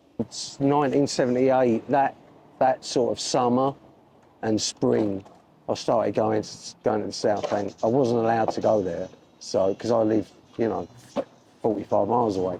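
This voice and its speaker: A man's dark, mellow voice of medium pitch, at a moderate pace with ordinary pitch variation and long, frequent pauses. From Essex, England (Southend-on-Sea). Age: 60s. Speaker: skateboarder and decorator. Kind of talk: casual interview. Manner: hesitant, with fillers.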